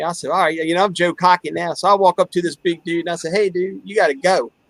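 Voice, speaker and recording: In an American accent, a man talks at a very fast pace in a high pitch with fairly even intonation, the sound dry and close with no echo. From Calvert County, Maryland. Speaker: podcast host. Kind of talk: casual chat.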